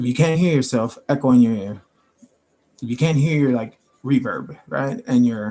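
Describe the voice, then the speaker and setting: A man with a dark, mellow tone speaks at a moderate pace, with ordinary pitch variation and long, frequent pauses. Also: medium pitch for a man. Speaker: tarot reader streamer. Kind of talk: casual livestream talk. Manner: loud, projecting; casual.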